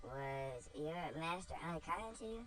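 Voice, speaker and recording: A put-on character voice at a middle pitch moves at a fairly slow pace against clear background noise. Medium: read story.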